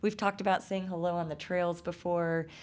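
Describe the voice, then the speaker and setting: A woman talking at a fairly quick pace. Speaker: podcast co-host. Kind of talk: casual chat.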